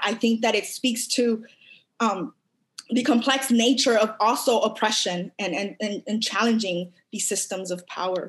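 A woman with a fairly high pitch talks at a fairly slow pace with fairly even intonation in an ordinary speaking voice. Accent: American. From Los Angeles, US. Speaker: academic researcher, guest speaker. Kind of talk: lecture; Q&A discussion. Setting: video call (virtual event).

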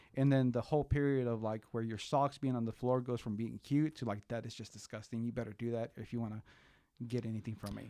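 This man talks very fast in a medium pitch, with a Spanish accent and ordinary pitch variation. His tone is dark and mellow, and the background is quiet. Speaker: podcast host. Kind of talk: casual interview chat.

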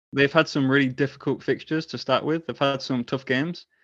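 Against a quiet background, a man talks at a fairly quick pace. His voice is fairly high and monotone, with flat intonation. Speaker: football fan and fantasy football community organizer. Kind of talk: casual chat.

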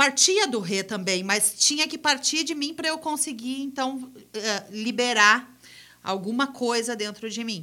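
A woman's raised, projected voice, bright and sharp in tone, with very wide pitch swings, a fairly slow pace and a very clean recording over a silent background. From Gramado, Rio Grande do Sul, Brazil. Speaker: rock band singer. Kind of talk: casual interview.

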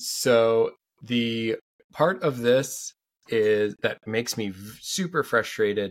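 An ordinary speaking voice from a man at medium pitch, on a very clean recording with a silent background. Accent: American. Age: 30s. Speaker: sports podcast host. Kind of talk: casual chat. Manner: fast.

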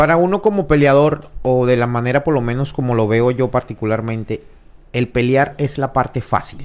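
This is a man with an ordinary speaking voice. He talks at a moderate pace and medium pitch, with ordinary pitch variation. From Venezuela. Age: 30s. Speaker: mixed martial arts fighter. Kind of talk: casual interview.

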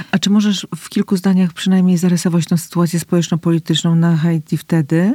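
A woman with a fairly low pitch and a dark, mellow tone, somewhat breathy, talks at a very fast pace with hardly any pauses, fairly even intonation and big swings in loudness, in a dry, close sound with no echo. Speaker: podcast host. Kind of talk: interview, casual conversation.

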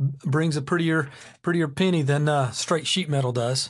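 Against a quiet background, the somewhat breathy voice moves with ordinary pitch variation. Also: man. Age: 40s. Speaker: podcast host. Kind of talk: solo casual monologue.

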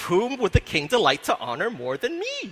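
In a put-on character voice, a man speaks at a moderate pace with a high pitch. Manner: scheming, flattering.

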